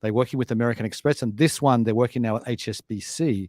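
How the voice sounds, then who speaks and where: On a very clean recording with a silent background and a dry, close sound with no echo, a man with an Australian accent speaks at medium pitch with fairly even intonation. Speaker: fintech company chairman and show host. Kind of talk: casual news discussion. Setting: studio.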